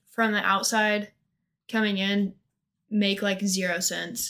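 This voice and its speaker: Over a silent background in a very clean recording, a speaker with a Midwestern American accent talks at a fairly slow pace in a bright, sharp tone. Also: woman. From US Midwest, northeast Missouri. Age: 20s. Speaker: college student. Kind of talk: casual interview. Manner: hesitant, many fillers.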